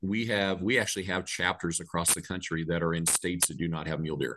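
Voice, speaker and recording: Against a quiet background, a man with an American accent talks at a very fast pace with a very deep, low pitch. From US Midwest. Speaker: wildlife conservation director. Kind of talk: interview.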